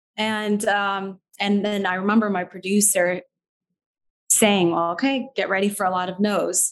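With an American accent, a woman talks at a medium pitch and a fairly slow pace in monotone, flat intonation. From US Midwest, Chicago suburbs. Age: 30s. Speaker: TV news reporter. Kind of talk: interview. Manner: hesitant with fillers.

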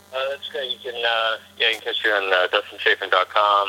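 A man talks with a Texan accent. There is noticeable background noise. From Texas. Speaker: comedian. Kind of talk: casual interview.

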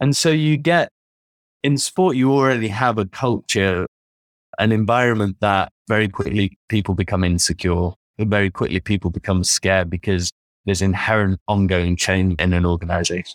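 A man with a British accent and a fairly low pitch speaks at a moderate pace with ordinary pitch variation and very even loudness, recorded dry and close with no echo on a very clean track with a silent background. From United Kingdom. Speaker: sports performance consultant. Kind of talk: interview.

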